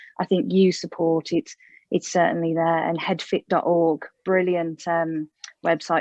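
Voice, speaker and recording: With a West Midlands accent, a woman talks in a monotone at a fairly low pitch, the sound dry and close with no echo. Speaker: mental health therapist. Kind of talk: interview.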